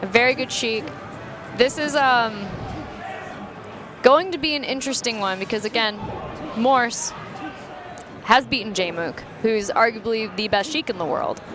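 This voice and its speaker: Against noticeable background noise, a woman with a fairly high pitch speaks at a moderate pace, leaving long, frequent pauses. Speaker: esports commentator. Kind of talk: live commentary. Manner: halting.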